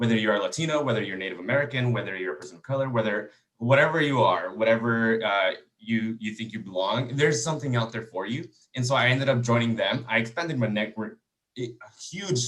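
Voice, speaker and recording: Talking at a very fast pace, a man speaks with a Spanish accent. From Texas. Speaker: engineering student. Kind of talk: panel discussion.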